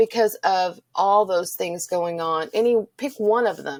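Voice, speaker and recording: Speaking at a very slow pace with ordinary pitch variation, a woman with a medium-pitched voice talks in a Texan accent, heard in a dry, close sound with no echo. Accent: Texan accent, noticeable. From Texas. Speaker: Spanish teacher. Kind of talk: personal interview testimony.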